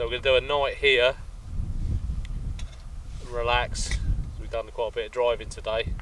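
There is audible room echo around this man's voice. He talks at a moderate pace with a medium pitch and fairly even intonation.

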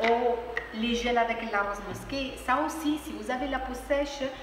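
Her high-pitched voice comes through noticeable background noise and audible room echo. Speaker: aloe vera shop owner. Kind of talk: product explanation to camera. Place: shop. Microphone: phone near.

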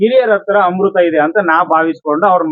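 A man speaks in a high voice. His pitch variation is ordinary. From North Karnataka, Koppal district. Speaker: YouTuber interviewing passers-by. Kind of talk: street interview. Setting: outdoors in a park.

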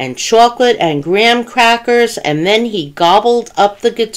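The voice reads aloud plainly.

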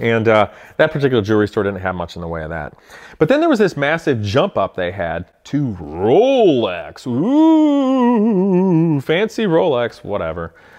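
A man with an American accent talks in an animated tone at a fairly slow pace against a quiet background. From Ohio, US Midwest. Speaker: car YouTuber. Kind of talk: casual vlog monologue. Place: garage.

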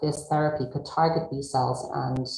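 In a room with audible echo, a woman speaks at a very deep, low pitch with ordinary pitch variation. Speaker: rheumatology researcher. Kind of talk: panel discussion.

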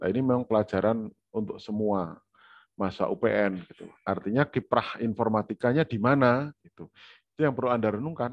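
A man with an unremarkable speaking voice, medium in pitch, at a fairly quick pace, with ordinary pitch variation and big swings in loudness, in a dry sound with no echo and a quiet background. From Indonesia. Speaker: university lecturer. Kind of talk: online lecture. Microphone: video call.

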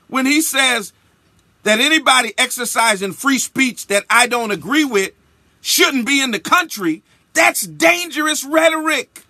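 A man with an extremely high pitch speaks in a raised, projected voice, with a passionate tone and lively intonation. His pace is fairly slow, and the background is quiet. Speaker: bishop, radio broadcaster. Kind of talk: spoken-word radio commentary. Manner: emphatic, passionate. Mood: indignant. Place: studio. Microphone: studio mic.

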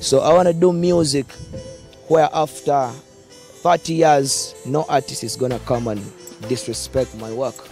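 With faint music in the background and a dry sound with no echo, a man with a fairly high pitch and ordinary pitch variation talks at a moderate pace, leaving long, frequent pauses. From Uganda. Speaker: dancehall musician. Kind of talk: interview answer. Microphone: handheld.

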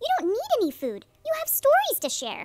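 A woman does a put-on character voice that is squeaky and extremely high in pitch. She talks at a fairly quick pace with very wide pitch swings.

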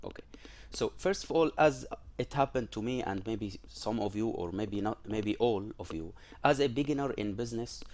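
Lively intonation marks a man talking at a moderate pace. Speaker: presenter. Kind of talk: lecture. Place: home room. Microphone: headset.

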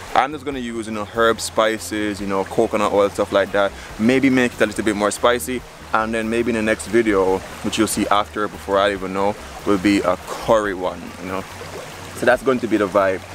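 In a dry sound with no echo and light background noise, a man has an unremarkable speaking voice with a fairly low pitch and fairly even intonation. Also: fairly quick pace. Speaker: vlogger. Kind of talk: casual vlog chat. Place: waterside. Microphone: phone near.

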